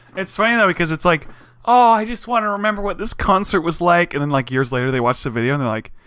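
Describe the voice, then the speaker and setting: A man talks very fast in a high, bright, sharp voice that swings very widely in pitch. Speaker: podcast host. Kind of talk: casual chat. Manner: fast with short pauses.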